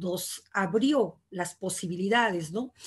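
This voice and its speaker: Over a quiet background, a woman speaks in a somewhat breathy voice with ordinary pitch variation. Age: 60s. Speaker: poet and writer; panelist, feminist educator. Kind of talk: casual chat. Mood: reflective, earnest. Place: home room. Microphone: video call.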